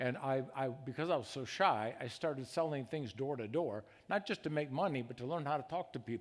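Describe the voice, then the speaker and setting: A man with an Upper Midwest accent speaks at a fairly quick pace and medium pitch, with ordinary pitch variation and hardly any pauses, on a very clean recording with a silent background. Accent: Upper Midwest American. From Michigan (Grand Rapids). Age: 70s. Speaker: conference speaker. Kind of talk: testimony. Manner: halting.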